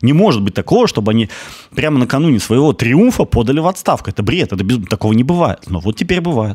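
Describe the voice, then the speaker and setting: Very fast delivery with very wide pitch swings over a quiet background. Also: man, medium pitch for a man. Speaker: news commentary show host. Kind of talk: solo news commentary. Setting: studio. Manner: pessimistic-sounding. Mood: ironic, indignant. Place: studio. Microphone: studio mic.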